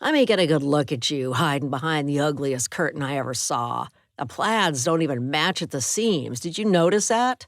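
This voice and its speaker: In a put-on character voice, gruff and low-to-middle in pitch, the speaker talks at a moderate pace with hardly any pauses on a very clean recording with a silent background. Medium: read story. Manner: snide, taunting.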